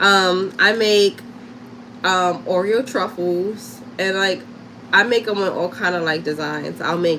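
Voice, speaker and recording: A woman with a New York accent speaks at a very slow pace with a medium pitch. Her intonation is lively, and there is noticeable background noise. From Harlem, New York. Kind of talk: casual livestream chat and crafting tutorial. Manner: casual, chatty.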